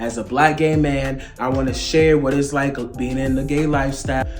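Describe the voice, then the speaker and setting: Fairly quick male speech with audible room echo and music in the background. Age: 20s. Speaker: motivational speaker. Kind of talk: casual faith vlog talk. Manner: animated.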